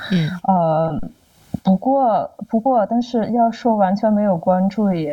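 With ordinary pitch variation, the words come out at a very slow pace. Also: woman. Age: 30s. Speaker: podcast guest. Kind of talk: casual chat. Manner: halting, many fillers and repeats.

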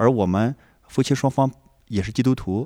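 A man at a fairly quick pace with ordinary pitch variation, on a very clean recording with a silent background and a dry, close sound with no echo. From rural northern China. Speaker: homeschooling parent, programmer. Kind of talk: casual chat. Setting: lodging in a village while traveling.

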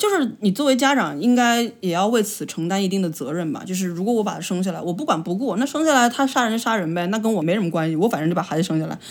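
A medium-pitched woman with a Changsha accent, very fast, with hardly any pauses and lively intonation. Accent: Changsha-accented Mandarin. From China, Changsha (Hunan). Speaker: podcast co-host. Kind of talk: casual chat.

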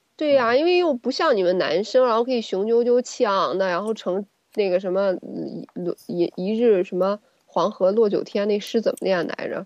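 A woman with an unremarkable speaking voice and a fairly high pitch. Her intonation is lively and her pace is moderate. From China, small town. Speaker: gynecologist and co-host. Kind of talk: casual chat.

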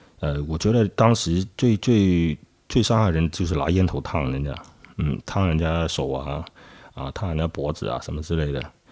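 A man's very deep, low voice in a Cantonese accent, with ordinary pitch variation. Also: moderate pace. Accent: Cantonese-accented Mandarin. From Guangzhou, southern China. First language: Cantonese (speaking Chinese). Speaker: nightlife worker. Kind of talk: interview testimony. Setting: old house at night. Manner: halting.

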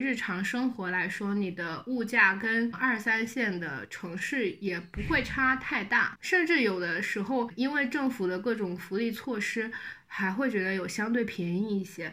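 Barely pausing, a woman with a plain, everyday voice speaks at fairly high pitch with lively intonation. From China, Xiamen (Fujian). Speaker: podcast guest. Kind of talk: casual chat.

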